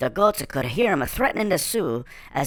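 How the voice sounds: Natural voice reading a text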